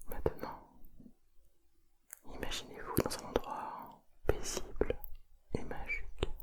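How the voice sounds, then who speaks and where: A woman whispers at a very slow pace with long, frequent pauses over noticeable background noise. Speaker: ASMR creator. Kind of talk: guided meditation ASMR visualisation. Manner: whispered, soft, slow.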